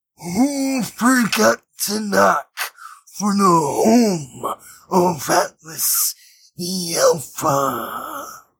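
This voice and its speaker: In a put-on character voice, a man speaks at a high pitch and a very slow pace. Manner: commanding, imposing.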